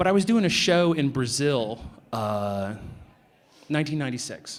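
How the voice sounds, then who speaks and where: A man speaks with an American accent. His medium-pitched voice has lively intonation. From New Jersey. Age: middle-aged. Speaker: comic book artist. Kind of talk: convention panel talk, storytelling. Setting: convention panel with audience. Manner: animated, many fillers and restarts.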